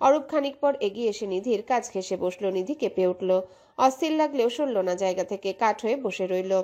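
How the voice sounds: The recording has a natural reading voice and lively intonation.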